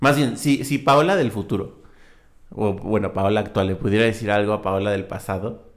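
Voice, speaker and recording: Here a man speaks in a plain, everyday voice at a fairly low pitch, moving at a moderate pace with ordinary pitch variation. The recording is very clean, with a silent background. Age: 20s. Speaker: podcast co-host. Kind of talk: casual chat.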